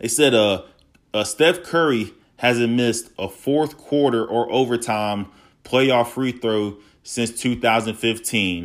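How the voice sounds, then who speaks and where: A man speaks very slowly at medium pitch with ordinary pitch variation. The recording is very clean, with a silent background. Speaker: solo podcast host. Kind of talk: casual solo podcast monologue. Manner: raised voice, agitated.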